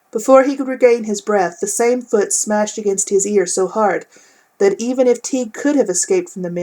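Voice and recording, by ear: A text is being read aloud. It comes in a natural voice.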